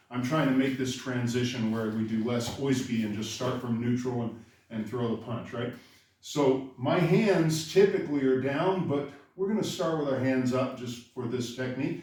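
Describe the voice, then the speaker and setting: A moderate pace and ordinary pitch variation, with audible room echo and noticeable background noise. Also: man, medium pitch for a man. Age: 60s. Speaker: karate instructor. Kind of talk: tutorial. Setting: dojo. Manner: casual, conversational.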